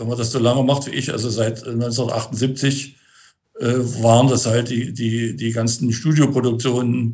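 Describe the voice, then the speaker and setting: Somewhat breathy, a man speaks very slowly at a medium pitch with fairly even intonation. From Thuringia, Germany (Gotha district). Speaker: band and tour manager. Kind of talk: interview. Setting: remote call. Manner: halting, many fillers and repetitions.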